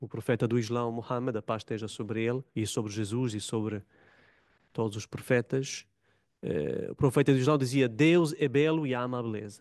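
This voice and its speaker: A man speaks with an Italian accent and ordinary pitch variation, his voice dry and close with no echo against a quiet background. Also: medium pitch for a man, moderate pace. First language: Italian (speaking Portuguese). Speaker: religious studies academic, panel commentator. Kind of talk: panel talk. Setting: conference room with audience.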